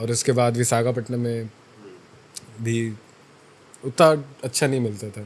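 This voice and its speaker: A man's flat, monotone delivery, broken by long, frequent pauses, with big swings in loudness. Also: medium pitch for a man. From Chhattisgarh, India. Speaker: fitness influencer and college student. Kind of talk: interview answer. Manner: casual.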